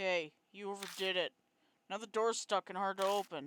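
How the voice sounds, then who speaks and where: A put-on character voice speaks at a middle pitch with fairly even intonation. The sound is dry and close, with no echo. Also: moderate pace. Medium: game stream. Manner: brusque, harsh.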